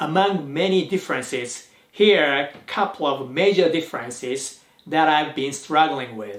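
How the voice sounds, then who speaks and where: With a Japanese accent, a man speaks at a fairly high pitch. His intonation is lively. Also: moderate pace. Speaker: YouTuber, language learner. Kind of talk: vlog talk to camera.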